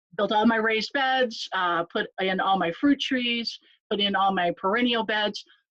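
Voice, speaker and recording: A woman's fairly high-pitched voice, an unremarkable speaking voice, with ordinary pitch variation at a moderate pace. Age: 60s. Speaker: nurse and home gardener. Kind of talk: casual interview.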